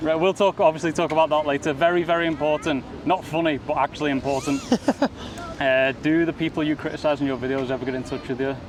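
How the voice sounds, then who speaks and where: Amid noticeable background noise, a man with a fairly high pitch and fairly even intonation talks at a very fast pace. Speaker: podcast host, travel vlogger. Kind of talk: podcast interview, casual talk.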